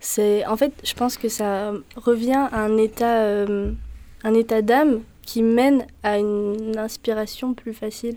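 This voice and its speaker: Her tone dark and mellow, a woman speaks at a fairly high pitch in a flat monotone. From southern France, Var (Saint-Maximin). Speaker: singer-songwriter. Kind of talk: interview.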